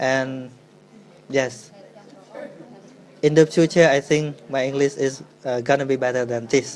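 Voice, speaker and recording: A man's medium-pitched, monotone, flat delivery at a moderate pace, broken by long, frequent pauses. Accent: Khmer. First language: Khmer. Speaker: Buddhist monk. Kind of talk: dharma talk Q&A. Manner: halting.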